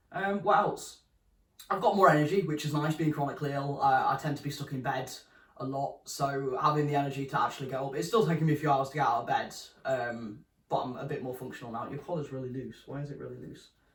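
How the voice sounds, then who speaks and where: A man with a British accent talks at a very fast pace in a fairly high pitch. His loudness swings widely while his pitch varies in an ordinary way. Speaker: vlogger. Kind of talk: casual vlog update. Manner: casual, hesitant with many ums.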